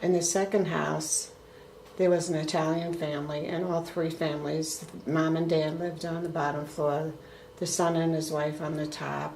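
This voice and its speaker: With an American accent, a woman speaks in a very deep, low pitch and monotone, flat intonation, with audible room echo and noticeable background noise. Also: moderate pace. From US Northeast, Brooklyn, New York. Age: 70s. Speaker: grandmother being interviewed. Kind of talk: family interview.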